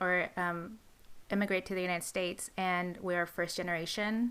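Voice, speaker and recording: A normal speaking voice from a woman at a moderate pace, on a very clean recording with a silent background. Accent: American. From California, with early childhood in Mexico. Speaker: podcast co-host. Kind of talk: casual chat.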